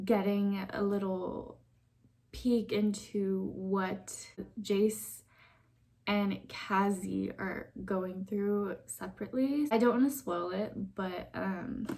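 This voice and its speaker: A woman talks at a very slow pace and a medium pitch with fairly even intonation. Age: 20s. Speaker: book vlogger. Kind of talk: casual vlog talk. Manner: casual with many fillers.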